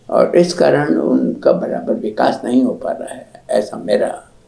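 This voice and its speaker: A man talks over noticeable background noise. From Rajasthan, India. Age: 90s. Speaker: writer, literary scholar. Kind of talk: interview answer.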